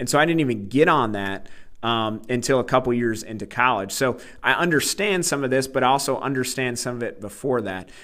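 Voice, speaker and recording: Speaking at a fairly quick pace, a man uses an unremarkable speaking voice with a medium pitch and ordinary pitch variation. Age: 30s. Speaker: podcast host discussing books. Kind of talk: book discussion monologue.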